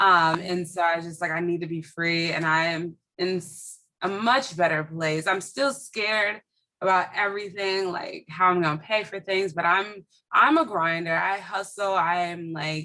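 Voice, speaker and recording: At a moderate pace, a woman with an American accent speaks in a fairly low, bright and sharp voice with fairly even intonation. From Minneapolis, US Midwest. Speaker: educator and bookstore owner. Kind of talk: interview.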